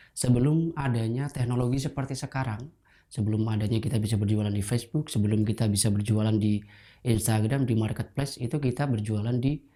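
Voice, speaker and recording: Very fast speech, somewhat breathy, with a dark, mellow tone and ordinary pitch variation. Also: man, medium pitch for a man. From Indonesia, Pekalongan (Central Java). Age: 20s. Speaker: batik trader sharing life story. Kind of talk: personal testimony.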